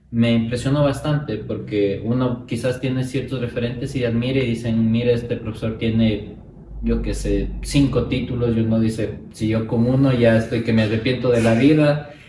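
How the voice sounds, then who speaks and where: Over noticeable background noise and with audible room echo, a man speaks at a moderate pace in a medium pitch with monotone, flat intonation. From Ecuador, Ibarra. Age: 30s. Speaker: academic and college rector. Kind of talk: interview conversation.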